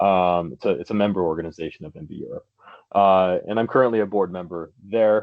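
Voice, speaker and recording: A man with an American accent speaks at a fairly quick pace in a fairly low pitch. His loudness swings widely while his pitch varies in an ordinary way. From United States. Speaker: cycling advocacy officer. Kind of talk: seminar presentation. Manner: hesitant, many fillers.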